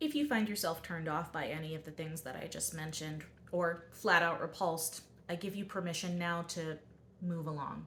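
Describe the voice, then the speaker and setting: In a normal speaking voice, a woman talks at a fairly quick pace with a fairly low pitch and fairly even intonation. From US Mid-Atlantic, southern Delaware. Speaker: book vlogger. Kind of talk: casual vlog talk. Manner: casual, conversational with fillers.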